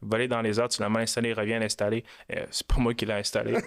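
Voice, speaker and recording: The speaker is a man with a medium-pitched voice. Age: 20s. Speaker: mortgage lender, company founder. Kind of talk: podcast interview. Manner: many hesitations and repeated words; animated storytelling.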